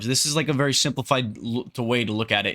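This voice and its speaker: Pitch varies in an ordinary way, and the tone is bright and sharp. The recording is very clean, with a silent background. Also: man. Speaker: fitness content creator. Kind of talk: casual explainer monologue. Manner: fast; halting, many fillers and restarts.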